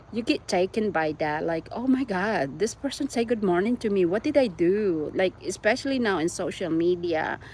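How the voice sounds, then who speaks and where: A woman with a Visayan Filipino accent speaks at a moderate pace with lively intonation. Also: medium pitch for a woman, hardly any pauses. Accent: Filipino (Cebuano) English. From Philippines (Cebu, Visayas). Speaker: YouTuber. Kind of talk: casual chat.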